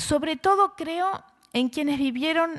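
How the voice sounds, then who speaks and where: The background is quiet around a woman's voice. She talks fairly slowly, using ordinary pitch variation. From Argentina. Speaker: writer and literature professor. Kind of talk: conference talk.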